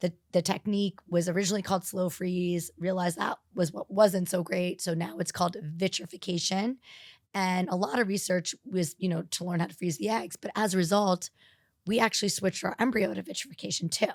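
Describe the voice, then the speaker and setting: An ordinary speaking voice from a woman with an American accent, medium in pitch with ordinary variation, fairly quick, in a dry, close sound with no echo. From New York City. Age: 40s. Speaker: fertility doctor. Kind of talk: podcast interview. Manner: conversational, with fillers.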